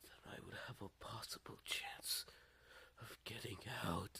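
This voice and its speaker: A put-on character voice whispers hoarsely at a fairly slow pace. Its loudness swings widely. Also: man. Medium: read story.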